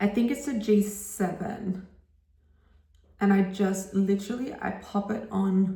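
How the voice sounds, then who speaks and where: A woman at a medium pitch with an Australian accent, ordinary pitch variation and audible room echo. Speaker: makeup artist. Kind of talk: tutorial. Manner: casual, chatty.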